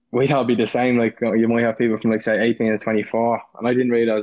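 A man talks at a very fast pace in a Dublin accent. His medium-pitched voice has monotone, flat intonation. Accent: Dublin Irish. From Dublin, Ireland.

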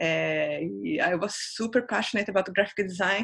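The speaker has a Brazilian accent. The pace is fairly slow. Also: woman. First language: Portuguese. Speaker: designer. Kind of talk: interview.

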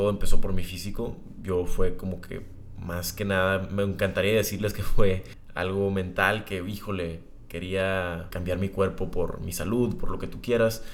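A man speaks at a moderate pace in a fairly low voice, his intonation fairly even but his loudness swinging widely, with audible echo from the room. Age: 20s. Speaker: podcast host. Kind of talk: casual monologue. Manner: casual, conversational.

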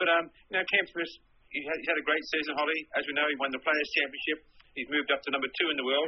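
A man with an Australian accent talks at a very fast pace. His pitch is fairly high and his intonation fairly even. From Sydney, Australia. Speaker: golf journalist. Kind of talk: interview.

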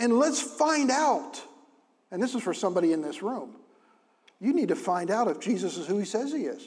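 Loud and animated, a man speaks in an extremely high pitch at a moderate pace, his pitch swinging very widely around long, frequent pauses. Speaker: pastor. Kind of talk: sermon. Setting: church. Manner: loud, animated.

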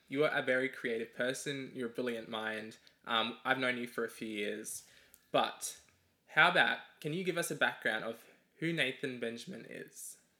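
Using a bright, sharp tone, a man with a medium pitch speaks at a moderate pace with ordinary pitch variation. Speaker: podcast host. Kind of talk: casual chat.

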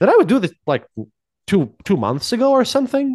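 Here a man talks at a fairly quick pace with very wide pitch swings. The background is quiet. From Latvia. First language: Latvian. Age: 30s. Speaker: history podcaster. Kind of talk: casual chat. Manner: halting.

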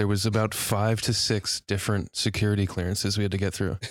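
A man's normal speaking voice, fairly low in pitch and at a fairly quick pace, in a very clean recording with a silent background and a dry, close sound with no echo. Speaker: podcast co-host. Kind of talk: casual comedic chat.

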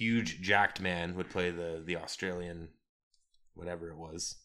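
A man's very deep, low-pitched voice with a bright, sharp tone. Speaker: podcast co-host. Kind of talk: casual chat. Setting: home recording.

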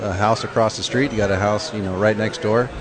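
With music in the background and audible room echo, a man speaks in an American accent at a fairly low pitch. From San Diego, California. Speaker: brewery co-owner. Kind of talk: casual chat. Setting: at a brewery.

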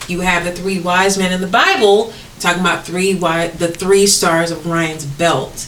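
At a moderate pace, a woman with a fairly low pitch speaks in a monotone, flat intonation over noticeable background noise. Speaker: podcast co-host. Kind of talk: casual chat.

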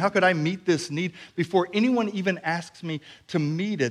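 A man talks at a moderate speed in a very clean recording with a silent background. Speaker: preacher. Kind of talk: sermon. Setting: church.

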